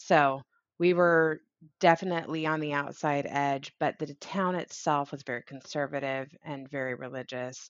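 This woman has a very deep, low pitch and an American accent. She keeps a moderate pace with fairly even intonation. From rural Idaho. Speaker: podcast guest. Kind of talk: casual chat.

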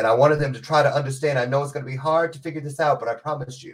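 This man speaks at a very fast pace with a medium pitch. His tone is animated and somewhat breathy. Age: 50s. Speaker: motivational speaker. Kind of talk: casual chat.

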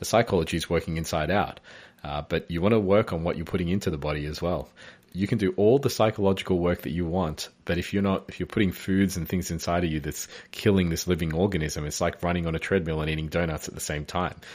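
A man speaks with an Australian accent at a very fast pace and a very deep, low pitch. His intonation is fairly even, and the recording is very clean with a silent background. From Australia, Melbourne. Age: 30s. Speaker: inspirational speaker and consultant. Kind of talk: interview.

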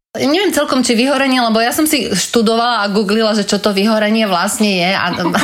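Speaking very fast with hardly any pauses, a woman with a fairly high pitch keeps a very even loudness and ordinary pitch variation, with audible room echo and noticeable background noise. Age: 40s. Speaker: former charity marketing head. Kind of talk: interview.

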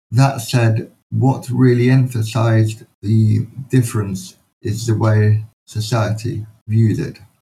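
With a London accent, a man talks at medium pitch in a dark, mellow, somewhat breathy tone, his intonation fairly even. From London, England. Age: 40s. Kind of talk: interview.

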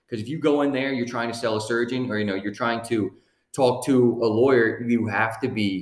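A man with an American accent talks at a fairly quick pace in an unremarkable speaking voice. His pitch is medium and his intonation fairly even. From US Northeast (Lancaster, Pennsylvania). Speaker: legal operations director, former medical device sales rep. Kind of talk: casual podcast interview.

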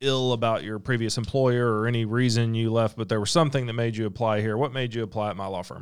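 A man with a medium pitch talks at a fairly quick pace in a plain, everyday voice, with fairly even intonation and a very clean recording with a silent background. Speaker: lawyer. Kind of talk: casual interview. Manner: informal, conversational.

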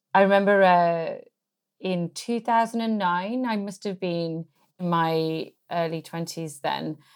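A woman speaks in a fairly low pitch with ordinary pitch variation. The recording is very clean, with a silent background. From English Midlands. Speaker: campaign organisation director. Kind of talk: interview.

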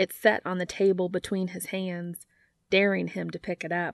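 Someone reads aloud plainly against a quiet background.

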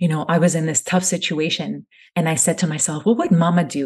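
A woman speaks in a fairly low pitch at a fairly quick pace, with a calm tone. Her voice is somewhat breathy against a quiet background. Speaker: family content creator. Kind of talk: interview. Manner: soft-spoken.

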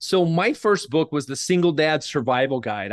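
Here is a man with an American accent and a plain, everyday voice. His pitch sits fairly high, and his pace is moderate. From Oklahoma, US. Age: 50s. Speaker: author and book publisher. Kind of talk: interview.

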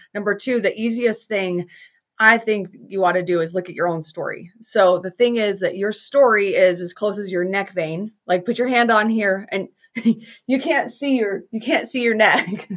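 In a normal speaking voice with an American accent, the speaker talks at a moderate pace with ordinary pitch variation. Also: woman, medium pitch for a woman. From Utah, US. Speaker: business coach and speaker. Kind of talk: interview.

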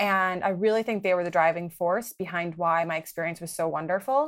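A woman with a plain, everyday voice at medium pitch, with ordinary pitch variation and a fairly quick pace, in a very clean recording with a silent background. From US Midwest, Milwaukee, Wisconsin. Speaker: development finance policy specialist. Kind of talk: interview.

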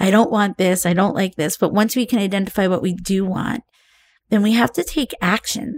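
A woman with an unremarkable speaking voice, medium pitch, ordinary pitch variation and a moderate pace, in a dry, close sound with no echo. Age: 50s. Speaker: life coach. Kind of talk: podcast interview.

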